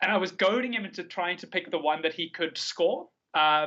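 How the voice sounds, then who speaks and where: Talking at a fairly quick pace, a man uses a high voice with ordinary pitch variation. He has a South African accent. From South Africa, Cape Town. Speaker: card game player. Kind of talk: podcast interview. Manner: animated.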